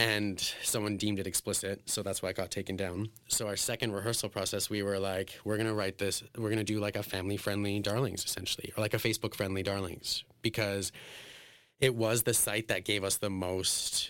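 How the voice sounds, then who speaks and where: With a Western Canadian accent, this man talks at a moderate pace in a fairly low, monotone, flat delivery, on a very clean recording with a silent background. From Alberta, Canada. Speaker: drag performer. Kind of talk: casual interview.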